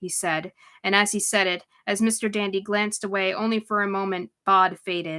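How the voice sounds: Here is a natural reading voice with fairly even intonation. The background is quiet.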